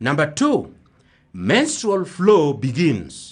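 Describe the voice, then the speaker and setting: A somewhat breathy voice speaks at a very slow pace against a quiet background. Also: man. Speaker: primary school teacher. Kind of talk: radio lesson for children. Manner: repetitive, slow teaching pace.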